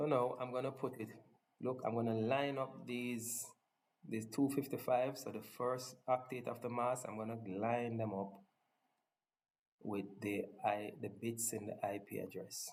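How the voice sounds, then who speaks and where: Pausing long and often, a man with a strong non-native accent speaks at a fairly slow pace and a medium pitch. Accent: thick non-native accent (self-described). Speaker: tech tutorial presenter. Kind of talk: tutorial. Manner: casual, enthusiastic.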